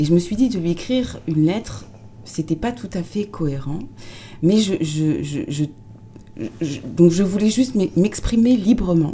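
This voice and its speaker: A somewhat breathy woman with a fairly low pitch speaks very slowly, her pitch swinging very widely. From France, Tours. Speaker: writer and former actress. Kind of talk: interview. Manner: hesitant, repeats words.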